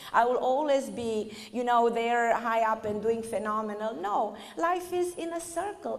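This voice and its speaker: With a Romanian accent, a woman speaks fairly slowly at a fairly high pitch, with audible room echo around her. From Romania (northern Transylvania). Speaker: spiritual speaker. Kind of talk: lecture.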